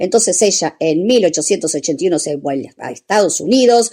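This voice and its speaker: With a normal speaking voice, a woman at fairly low pitch speaks at a moderate pace with lively intonation. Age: 60s. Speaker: radio host. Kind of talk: radio talk segment.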